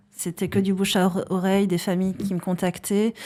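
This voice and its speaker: A woman with a dark, mellow tone and medium pitch is heard on a very clean recording with a silent background. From French Basque Country, countryside. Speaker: psychologist and founder of an assessment tool. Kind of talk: podcast interview. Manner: hesitant, many fillers.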